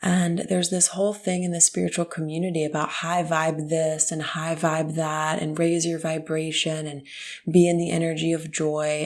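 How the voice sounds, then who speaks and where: A soft-spoken woman talks in a fairly low voice with fairly even intonation. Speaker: spiritual podcast host. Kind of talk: late night mystical chat. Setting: parents' house in the country.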